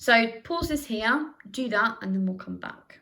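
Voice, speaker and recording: Her pace is moderate. The woman's intonation moves in a lively way. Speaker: sociology teacher. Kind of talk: recorded lesson. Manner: loud; conversational.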